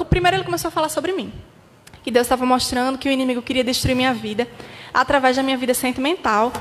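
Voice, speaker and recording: A woman talks at a very fast pace in a high pitch, with ordinary pitch variation. Noticeable background noise sits under her voice. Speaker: pastor's daughter giving testimony. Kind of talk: testimony.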